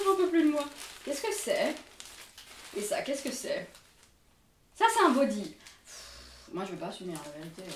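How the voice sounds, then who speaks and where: The speaker goes at a fairly slow pace, with big swings in loudness. Room echo and background noise are both noticeable. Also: woman. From Belgium. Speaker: fashion and beauty youtuber. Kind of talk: try-on haul vlog. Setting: at home in front of a mirror. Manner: casual, chatty with many fillers.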